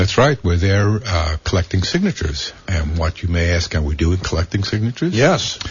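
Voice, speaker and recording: A man talks at a fairly quick pace with hardly any pauses, his very deep, low pitch showing ordinary variation. Noticeable background noise is present. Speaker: activist. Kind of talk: radio interview. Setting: radio studio.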